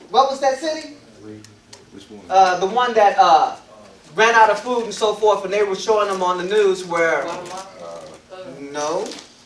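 Speaking at a fairly slow pace with long, frequent pauses, a man with a high-pitched voice swings widely in loudness, with audible room echo and light background noise. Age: 50s. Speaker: elder / guest preacher; guest preacher. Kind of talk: sermon. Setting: congregation assembly. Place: meeting room. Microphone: podium.

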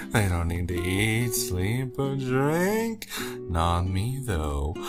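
Loud music plays in the background behind a low-pitched, put-on character voice. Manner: slurred, tipsy, flirtatious.

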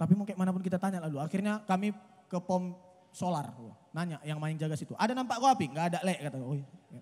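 A man's high voice races along at a very fast pace with big swings in loudness. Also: ordinary pitch variation. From Medan, North Sumatra, Indonesia. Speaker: stand-up comedian. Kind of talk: stand-up comedy. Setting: stage with live audience outdoors. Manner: conversational, casual, punchlines paced for laughter and applause. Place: stage. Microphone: handheld.

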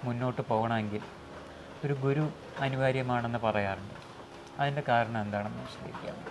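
Noticeable background noise sits behind a man who speaks at a medium pitch with fairly even intonation. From Kerala, India. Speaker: spiritual channel host. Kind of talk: interview. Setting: meditation centre. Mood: calm, respectful. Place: hall. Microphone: lapel.

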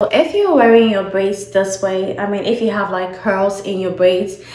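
Audible room echo surrounds the voice. The woman talks at a moderate pace. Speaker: beauty content creator. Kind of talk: tutorial. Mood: friendly, upbeat. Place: home room. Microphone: phone near.

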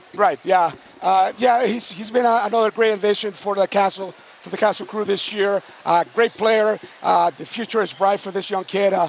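Noticeable background noise sits behind a man's high-pitched voice. He keeps a moderate pace with monotone, flat intonation. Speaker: basketball coach. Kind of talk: post-game interview.

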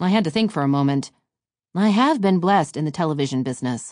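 A woman with a very deep, low pitch speaks very fast against a quiet background. Her tone is warm and upbeat, with lively intonation. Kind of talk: literary audiobook reading, first-person memoir essay read aloud. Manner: warm, polished, measured narration with reflective, upbeat delivery.

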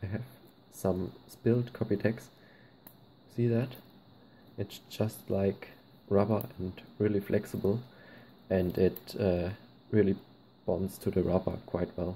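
A man speaks at a fairly slow pace with long, frequent pauses and fairly even intonation. His fairly low voice is somewhat breathy, with a dark, mellow tone. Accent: German. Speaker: slingshot hobbyist. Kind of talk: casual tutorial talk to camera.

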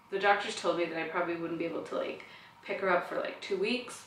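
A woman's voice carries audible room echo with light background noise. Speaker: new mother vlogger. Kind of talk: casual vlog chat. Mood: warm, reflective. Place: home room. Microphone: camera far.

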